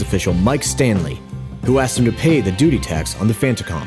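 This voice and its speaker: A man's serious tone over music in the background, fairly quick, with very wide pitch swings. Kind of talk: mock documentary narration. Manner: over-the-top serious documentary style.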